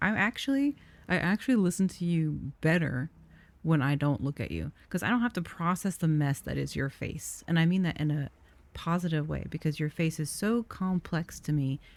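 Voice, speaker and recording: A soft-spoken woman talks at a moderate pace with a fairly low pitch and lively intonation. The recording is very clean, with a silent background. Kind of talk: casual talk to camera. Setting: gaming stream commentary.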